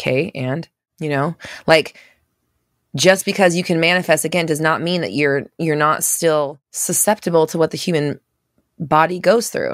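A woman's fairly low voice with ordinary pitch variation, dry and close with no echo, on a very clean recording against a silent background. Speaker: manifestation coach and podcast host. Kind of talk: casual live Q&A coaching chat. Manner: sometimes sounds accusatory in tone; casual, fast, many fillers and restarts.

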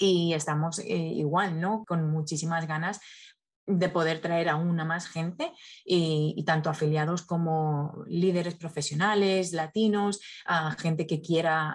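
Against a quiet background, a woman with a fairly low pitch speaks at a fairly slow pace, her intonation fairly even. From Spain. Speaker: nonprofit communications specialist. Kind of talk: interview. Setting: video call. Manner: halting, frequent repetitions.

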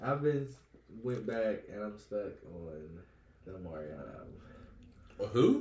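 Speaking very slowly with long, frequent pauses, a man with an American accent sounds somewhat breathy and uses lively intonation amid audible room echo. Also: fairly low pitch for a man. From West Virginia. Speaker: podcast co-host. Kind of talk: casual chat.

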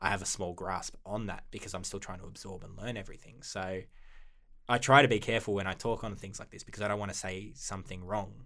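With an Australian accent, a man talks at a fairly quick pace in a fairly low pitch with a bright, sharp tone. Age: 20s. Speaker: paleontology PhD student. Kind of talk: casual interview.

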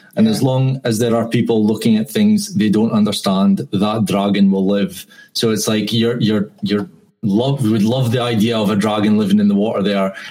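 With a Scottish accent, a man speaks at a moderate pace in a fairly low pitch, his tone dark and mellow, his intonation fairly even and his loudness very even. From Scotland. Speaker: podcast host guest. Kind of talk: casual chat. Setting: video call.

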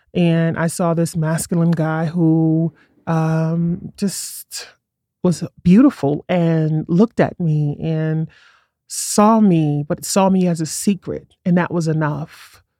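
Speaking very slowly with a New York accent, a woman has a fairly low pitch, a dark, mellow tone and fairly even intonation. The recording is very clean with a silent background and a dry, close sound with no echo. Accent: New York City. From Brooklyn, New York City. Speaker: writer and performance artist. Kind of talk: casual interview chat. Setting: studio.

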